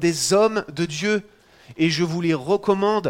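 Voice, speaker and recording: A high-pitched man talks fairly slowly, with ordinary variation in his pitch. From France. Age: 40s. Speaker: pastor. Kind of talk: sermon. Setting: church.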